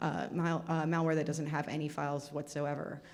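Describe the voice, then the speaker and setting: A woman speaks with audible room echo. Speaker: cyber security speaker. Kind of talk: conference talk Q&A. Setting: stage with audience. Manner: fast.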